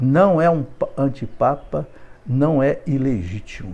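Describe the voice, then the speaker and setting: A man with a dark, mellow tone and medium pitch speaks with lively intonation. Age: 70s. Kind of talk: live video monologue.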